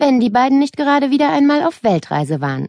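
In a dry, close recording with no echo, a woman speaks in an animated, playful tone with very wide pitch swings. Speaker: audiobook narrator. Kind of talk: dramatic audiobook narration for children, reading a story aloud. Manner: animated, expressive, with playful character voices and shifts in tone.

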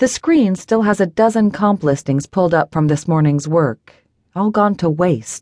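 Against a quiet background, the voice heard is an unforced reading voice.

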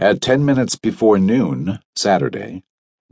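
Against a quiet background, the speaker is heard in plain reading aloud.

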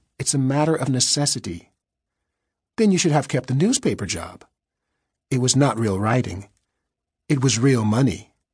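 In a dramatic tone, a man speaks at medium pitch and a moderate pace, somewhat breathy and with long, frequent pauses. The background is quiet. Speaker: audiobook narrator. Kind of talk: scripted audiobook narration, dramatic thriller reading. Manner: dramatic, wry, measured storyteller pacing; shifts tone to voice characters' dialogue.

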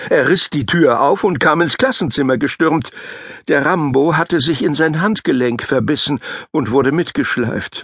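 A man with an ordinary speaking voice, fairly high in pitch, at a fairly slow pace, in a dry, close sound with no echo. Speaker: audiobook narrator. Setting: studio.

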